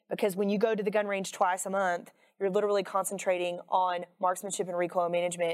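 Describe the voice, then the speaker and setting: In an American accent, a woman at medium pitch speaks at a very fast pace with monotone, flat intonation, on a very clean recording with a silent background. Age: 40s. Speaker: firearms instructor. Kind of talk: casual interview.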